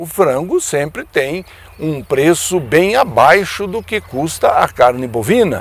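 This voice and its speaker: A man speaks at a very slow pace. His pitch moves in very wide swings. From Brazil, Paraná state. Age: 60s. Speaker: veterinarian and former politician. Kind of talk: radio commentary.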